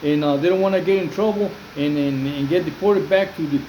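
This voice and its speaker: A man with a Spanish accent talks at a fairly quick pace with ordinary pitch variation. Audible room echo and noticeable background noise are present. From Mexico, Jalisco. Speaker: former prisoner, YouTuber. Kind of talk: casual video monologue. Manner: halting, many fillers and repetitions; switches between English and Spanish.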